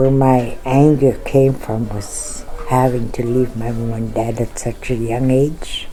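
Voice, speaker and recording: A woman's very deep, low voice in a Canadian Arctic accent, with audible room echo and noticeable background noise. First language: Inuktut. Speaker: residential school survivor. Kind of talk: testimony.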